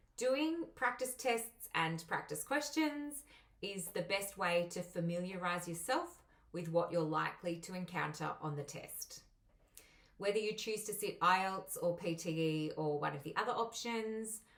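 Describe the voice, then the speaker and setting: Intonation stays lively while the delivery proceeds fairly slowly. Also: woman, medium pitch for a woman. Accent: strong Australian. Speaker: migration agent and English teacher. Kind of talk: tutorial.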